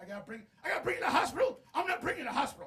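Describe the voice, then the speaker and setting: A put-on character voice at a very fast pace. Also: man, extremely high pitch for a man. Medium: solo performance. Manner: gruff, curt.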